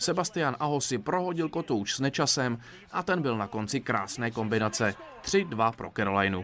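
In an ordinary speaking voice, a man talks at a fairly quick pace and medium pitch with lively intonation. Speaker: sports reporter. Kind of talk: scripted narration.

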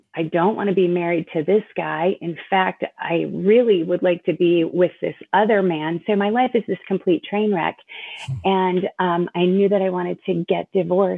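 A woman's normal speaking voice, fairly low in pitch, with fairly even intonation. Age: 50s. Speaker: ministry director for abortion recovery. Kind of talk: testimony.

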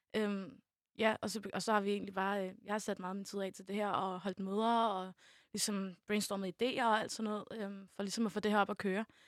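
She has an ordinary speaking voice at a medium pitch. The woman talks at a moderate pace. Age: young. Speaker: youth media volunteer. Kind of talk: casual chat.

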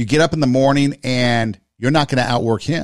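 With a plain, everyday voice, a man talks at a fairly quick pace and a medium pitch with ordinary pitch variation, in a dry, close sound with no echo. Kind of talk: pep talk. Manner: earnest, encouraging, motivational.

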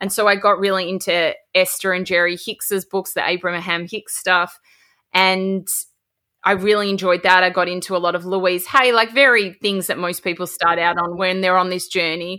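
A woman with an Australian accent talks at a moderate pace and medium pitch, her bright, sharp tone and fairly even intonation captured in a very clean recording with a silent background. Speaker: podcast host. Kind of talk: casual interview chat.

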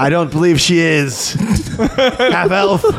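Someone uses a put-on character voice, raised and projected. The delivery comes at a very slow pace. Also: man, high pitch for a man. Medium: actual play. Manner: imperious, proud.

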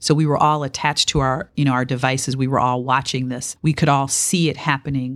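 With an American accent, a woman with a very deep, low pitch speaks at a fairly quick pace in a monotone, flat intonation. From Detroit, US Midwest. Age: 50s. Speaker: business executive and lawyer. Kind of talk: interview.

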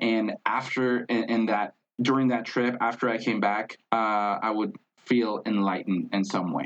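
A man's Spanish-accented voice at a medium pitch, with ordinary variation in pitch. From Mexico, Tijuana. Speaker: traveler, marketer. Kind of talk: casual interview chat. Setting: in-person recording, streamed on Facebook Live.

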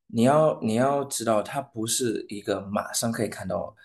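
A man with a non-native accent at a very slow pace, against a quiet background. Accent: foreign accent in Mandarin. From Saint Lucia. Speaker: singer. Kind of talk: interview. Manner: halting.

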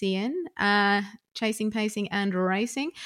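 A woman speaks in a relaxed, bright and sharp tone with ordinary pitch variation. The recording is very clean, with a silent background. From Australia. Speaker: radio presenter and vlogger. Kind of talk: casual podcast chat. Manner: laughs a lot, relaxed.

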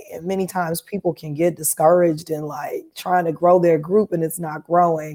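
Speaking at a moderate pace with hardly any pauses, a woman with an American accent has a fairly low pitch, a dark, mellow tone, flat monotone intonation and big swings in loudness. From Chicago, US Midwest. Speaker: entrepreneur and digital marketer. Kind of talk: casual interview. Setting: live-streamed podcast.

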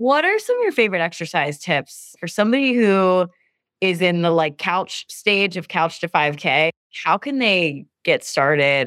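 In a normal speaking voice, a woman talks at a moderate pace with medium pitch and lively intonation, the sound dry and close with no echo on a very clean recording with a silent background. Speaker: podcast host, doctor. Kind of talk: interview on health topics.

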